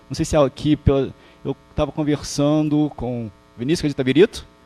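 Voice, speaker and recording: Fairly quick speech from a man with a fairly high pitch amid noticeable background noise. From Rio de Janeiro, Brazil (Botafogo, Zona Sul). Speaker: professor. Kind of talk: lecture. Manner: halting, many false starts.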